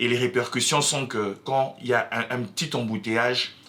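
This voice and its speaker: A man speaks at a moderate pace in a medium pitch. There is noticeable background noise. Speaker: political commentator. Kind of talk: opinion commentary. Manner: halting, many fillers; mixes French and Lingala.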